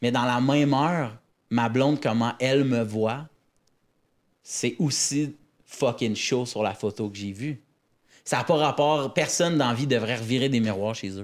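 In a very clean recording with a silent background, a man talks fairly slowly at a medium pitch, with ordinary pitch variation and long, frequent pauses. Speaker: comedian. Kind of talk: casual chat.

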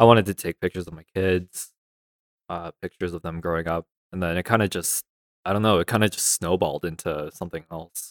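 A man's very deep, low voice, very fast, fairly even in intonation yet with big swings in loudness, in a very clean, dry, close recording with a silent background and no echo. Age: 20s. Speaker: street photographer. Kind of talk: casual chat.

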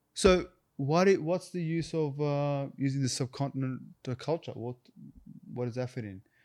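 A man with an Australian accent, fairly high in pitch, with big swings in loudness, on a very clean recording with a silent background. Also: ordinary pitch variation, moderate pace. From Australia, Canberra. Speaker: actor. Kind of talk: casual chat.

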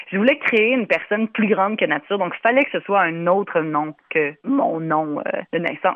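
With lively intonation, a woman speaks at a moderate pace and a medium pitch. She leaves hardly any pauses. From Ireland, raised by Québécois parents. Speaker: singer. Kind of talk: interview. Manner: animated.

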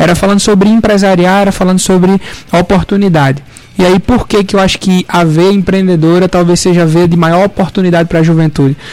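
A man speaks at a very fast pace with very even loudness. His high pitch follows fairly even intonation. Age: 20s. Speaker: young entrepreneur and law student. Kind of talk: radio interview.

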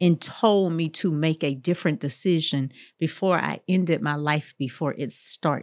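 A woman's very deep, low voice at a moderate pace, with ordinary pitch variation, in a very clean recording with a silent background and a dry, close sound without echo. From Jacksonville, Florida, US South. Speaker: judge and author. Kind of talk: interview.

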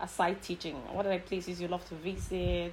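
Her fairly low-pitched voice shows vocal fry as this woman speaks. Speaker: country manager and co-host. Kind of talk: interview, polite.

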